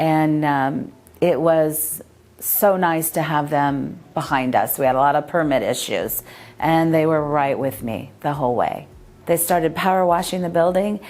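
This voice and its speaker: Speaking in a Californian accent, this woman has a fairly low pitch. Her pace is moderate. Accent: Californian American English. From San Pedro, California. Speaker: rental property owner. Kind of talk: customer testimonial.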